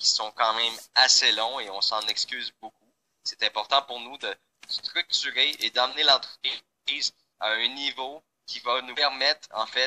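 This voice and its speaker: A fairly slow delivery in a Quebec accent, with a dry, close sound and no echo. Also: man. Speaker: company founder presenting to members. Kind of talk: online presentation. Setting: live online call. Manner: hesitant, many fillers.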